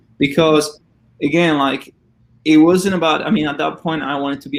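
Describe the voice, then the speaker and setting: A man's fairly high voice with a Spanish accent at a fairly quick pace, amid noticeable background noise. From Argentina. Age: 20s. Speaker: former college swimmer and Olympian. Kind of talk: interview.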